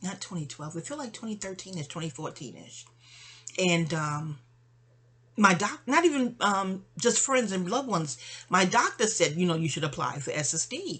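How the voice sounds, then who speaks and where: A woman of medium pitch at a moderate pace, with very wide pitch swings and big swings in loudness. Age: 50s. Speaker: vlogger. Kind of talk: personal monologue. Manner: chatty; halting.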